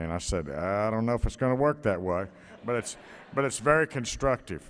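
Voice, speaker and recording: A man speaks at a very fast pace. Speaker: volunteer speaker at gala. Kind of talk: speech at awards gala.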